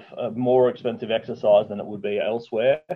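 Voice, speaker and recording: Talking at a very fast pace, a man speaks at a medium pitch with an Australian accent. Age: 30s. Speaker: mini truck builder. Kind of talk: casual chat.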